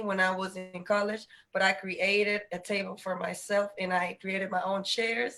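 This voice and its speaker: Speaking at a moderate pace with an American accent, a woman uses a medium pitch and a bright, sharp tone, with hardly any pauses. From Dominican Republic, then Virginia. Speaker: panel host, educator. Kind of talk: live panel discussion. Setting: video call.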